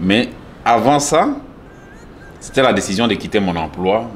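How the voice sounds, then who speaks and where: At a fairly slow pace with ordinary pitch variation, a man with a Swahili accent speaks through noticeable background noise and audible room echo. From eastern DR Congo (Bukavu). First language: Swahili (speaking French). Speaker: art gallery owner. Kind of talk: interview. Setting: in his art gallery. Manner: hesitant, many fillers.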